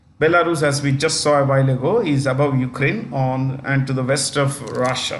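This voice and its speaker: A fairly high-pitched man's voice at a moderate pace and with fairly even intonation, amid audible room echo and noticeable background noise. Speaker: teacher. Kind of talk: lecture. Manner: loud and clear.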